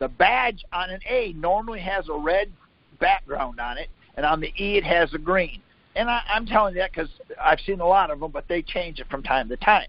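The speaker has an animated tone and a fairly quick pace, in a dry sound with no echo. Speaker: conference call expert answering legal questions; call host or guest explaining law. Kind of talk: conference call Q&A. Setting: phone conference call. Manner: blunt, animated. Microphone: phone line.

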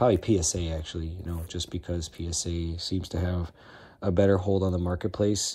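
Speaking at a moderate pace with an American accent, a man uses a very deep, low pitch, a somewhat breathy, dark and mellow tone, and monotone, flat intonation. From Chicago, US Midwest. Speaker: sports card collector. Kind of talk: casual collection tour video. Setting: at home. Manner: casual, filler-heavy. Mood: enthusiastic, proud. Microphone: phone near.

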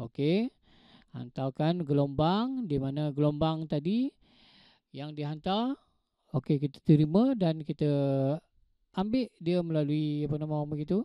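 With a Malaysian accent, a man speaks fairly slowly with long, frequent pauses, in a dry sound with no echo and a quiet background. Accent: Malaysian Malay. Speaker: lecturer. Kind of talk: online lecture. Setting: online class with audio interface. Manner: hesitant, filler-heavy, teacherly. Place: home room. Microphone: handheld.

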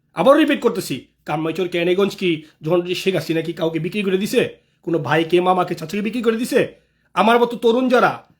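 A man with a high pitch and lively intonation. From Bangladesh, Dhaka (Kamrangirchar). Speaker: local political activist. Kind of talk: live video monologue.

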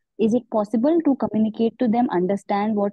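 This woman has an ordinary speaking voice. Her intonation stays fairly even. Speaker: workshop participant, healer. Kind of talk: question to teacher. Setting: video call.

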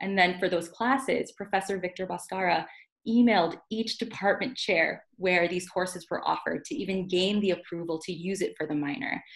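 With an American accent, a woman talks at a fairly quick pace with ordinary pitch variation against a quiet background. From US, South Bay Los Angeles (Carson); Los Angeles, US. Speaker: university student affairs officer; panelist. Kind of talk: online panel presentation. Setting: online video seminar. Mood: earnest, reflective. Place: home room. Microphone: video call.

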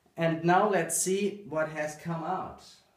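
Amid strong room echo, a man speaks slowly in a fairly high pitch. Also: fairly even intonation.

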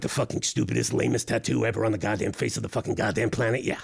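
A man's cartoonish character voice, fairly low in pitch and very fast, over noticeable background noise. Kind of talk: comedic podcast banter. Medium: puppet. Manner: exasperated, profane.

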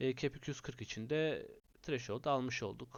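Ordinary pitch variation comes through as a man speaks fairly slowly. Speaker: fantasy football gaming YouTuber. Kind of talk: casual video commentary. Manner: hesitant with frequent filler sounds.

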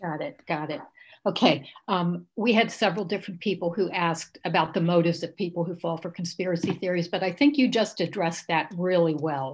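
Her speech comes at a fairly quick pace with ordinary pitch variation. This woman has a fairly low, somewhat breathy voice. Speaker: club secretary, moderator; moderator. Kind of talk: Q&A moderation. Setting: video call. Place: home room. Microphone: video call.

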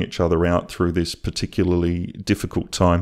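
In a very clean recording with a silent background, a man with an Australian accent speaks at a moderate pace in a very deep, low voice. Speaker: YouTube artist. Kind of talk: narrated drawing video.

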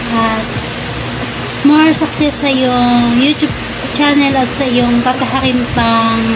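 A woman's voice over music in the background. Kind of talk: birthday greeting message. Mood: warm, cheerful. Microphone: phone near.

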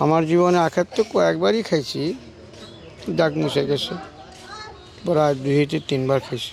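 With lively intonation and a fairly high pitch, a man speaks amid noticeable background noise. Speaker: snake charmer. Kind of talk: interview.

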